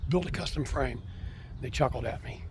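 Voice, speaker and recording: Speaking at a very fast pace, a man is heard with audible room echo and noticeable background noise. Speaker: car collector. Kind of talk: casual walkaround video. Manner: halting with many fillers.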